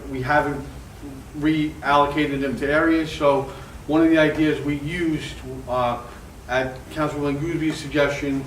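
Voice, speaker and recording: A man speaks at a moderate pace with a fairly high pitch and monotone, flat intonation. Audible room echo and noticeable background noise fill the recording. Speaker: town code enforcement official. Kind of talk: community meeting update. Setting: civic association meeting with mic. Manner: loud; halting.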